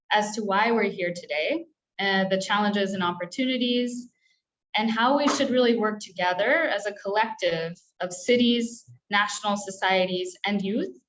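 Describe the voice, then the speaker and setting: At a moderate pace, a woman in a plain, everyday voice speaks fairly high with ordinary pitch variation. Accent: American. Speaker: webinar moderator. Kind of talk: online meeting moderation. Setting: video call.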